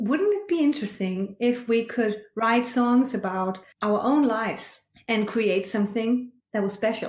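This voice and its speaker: A woman with a Danish accent speaks fairly high for a woman at a fairly slow pace, her pitch varying in an ordinary way. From rural Denmark. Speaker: choir conductor and singing teacher. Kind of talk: interview.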